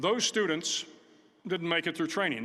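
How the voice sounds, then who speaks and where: At a moderate pace, a man with a high pitch speaks in a raised, projected voice, bright and sharp in tone, with ordinary pitch variation. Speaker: retired admiral giving a university commencement speech. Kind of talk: commencement speech. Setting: auditorium with live audience, PA system.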